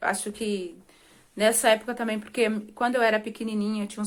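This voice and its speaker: A woman uses a normal speaking voice at a fairly high pitch and a fairly quick pace in a very clean recording with a silent background. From Brazil, rural Minas Gerais. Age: 30s. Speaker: vlogger. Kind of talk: personal life story to camera. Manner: casual, conversational.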